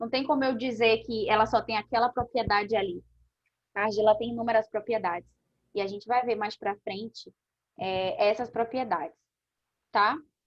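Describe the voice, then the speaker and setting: A woman with a fairly high pitch and ordinary pitch variation speaks at a moderate pace, leaving long, frequent pauses. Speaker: aesthetics instructor. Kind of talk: online class lecture. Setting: live online class with chat. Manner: animated.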